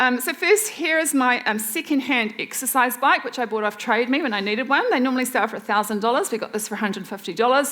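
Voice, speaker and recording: Noticeable background noise surrounds a woman with a New Zealand accent. Her high voice races at a very fast pace with lively intonation. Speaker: waste reduction expert and speaker. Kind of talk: presentation talk.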